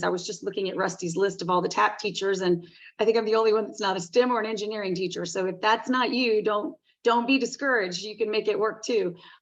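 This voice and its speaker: Talking at a very fast pace, a woman uses a medium pitch. She has a Southern US accent. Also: quiet background. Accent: Southern US, noticeable. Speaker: teacher. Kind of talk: webinar presentation.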